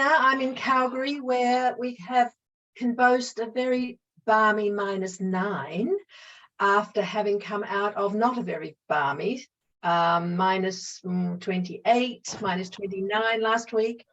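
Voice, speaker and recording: A woman in an Australian accent, fairly high in pitch with lively intonation and a fairly slow pace. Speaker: psychologist and mediator. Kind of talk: webinar presentation.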